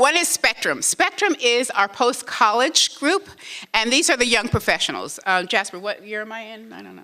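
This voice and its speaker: Her pitch high, a woman speaks with very wide pitch swings. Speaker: museum executive. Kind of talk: conference presentation. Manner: fast; animated.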